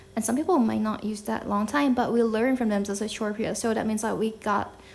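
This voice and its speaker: A woman speaks in a Thai accent at a fairly high pitch. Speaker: podcast host. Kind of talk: casual talk to camera. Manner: casual, chatty.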